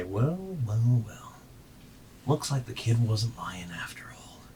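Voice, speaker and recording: Putting on a rumbling character voice, a man speaks at a fairly slow pace and medium pitch over light background noise. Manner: menacing, sarcastic.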